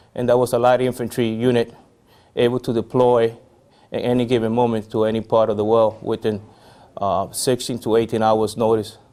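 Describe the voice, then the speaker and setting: In a Spanish accent, a man speaks at medium pitch with a dark, mellow tone and monotone, flat intonation. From Puerto Rico. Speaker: army veteran. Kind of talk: interview. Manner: halting, many fillers.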